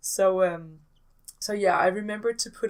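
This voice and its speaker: A woman's medium-pitched voice with a Danish accent. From Denmark. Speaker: gaming YouTuber. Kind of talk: casual voiceover commentary. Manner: hesitant, many fillers.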